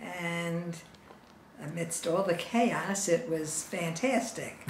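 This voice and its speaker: With noticeable background noise behind her, a woman speaks at a fairly low pitch with ordinary pitch variation. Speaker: grandmother being interviewed. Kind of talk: interview answer. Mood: cheerful, smiling. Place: home room.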